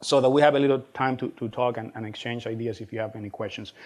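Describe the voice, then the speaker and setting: The speaker has a Spanish accent. The delivery is very fast. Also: man. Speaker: college administrator and speaker. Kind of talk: lecture. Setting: stage with audience.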